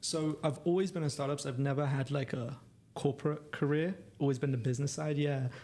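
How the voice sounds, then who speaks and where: In a London accent, a man speaks with a fairly high pitch and ordinary pitch variation. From London, England. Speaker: startup co-founder. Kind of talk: podcast interview.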